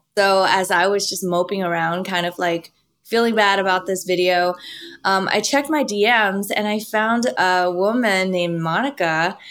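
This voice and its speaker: This woman's pitch is medium. It rises and falls a normal amount. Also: very clean recording, silent background. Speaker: YouTube creator and Bible teacher. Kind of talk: interview conversation.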